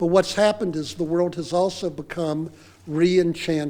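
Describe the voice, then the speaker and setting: A man talks at a moderate pace in a high pitch with ordinary pitch variation. His tone is dark and mellow. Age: 70s. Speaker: rabbi and scholar giving a lecture. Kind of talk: lecture. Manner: formal.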